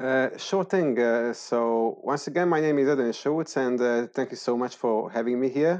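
A man speaks at a moderate pace with a medium pitch. His pitch varies in an ordinary way, and his loudness stays very even. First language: Hungarian. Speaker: startup founder of an ed-tech platform. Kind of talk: interview. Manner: halting with many fillers.

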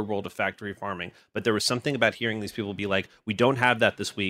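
Very fast and fairly low-pitched, a man speaks in a bright, sharp tone, with dry, close sound with no echo on a very clean recording with a silent background. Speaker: podcast producer. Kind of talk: casual chat.

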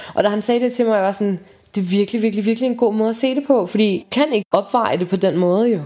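This voice has a dark, mellow tone and ordinary pitch variation. It moves at a very fast pace with very even loudness. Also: woman, fairly high pitch for a woman. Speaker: friend of the patient. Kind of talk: intimate conversation.

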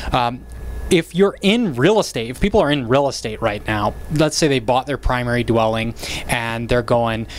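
There is noticeable background noise behind this man. His intonation is lively. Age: 30s. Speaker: real estate podcast host, realtor. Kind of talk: casual interview.

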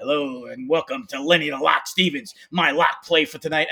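A man's put-on character voice, raspy and fairly high-pitched, at a moderate pace

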